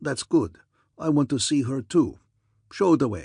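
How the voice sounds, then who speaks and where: A man's growling, put-on character voice at medium pitch, with lively intonation and a moderate pace. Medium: read story. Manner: pompous, boastful.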